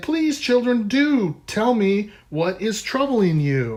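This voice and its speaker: A put-on character voice comes through at a fairly high pitch. The pace is very slow. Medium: read story. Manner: gentle, fussing.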